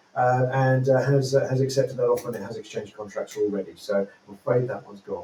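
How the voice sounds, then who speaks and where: In a British accent, a man talks at a very fast pace with hardly any pauses and big swings in loudness. Noticeable background noise is present. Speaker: auctioneer presenting upcoming property lots. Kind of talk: live show presenter talk about property auction lots.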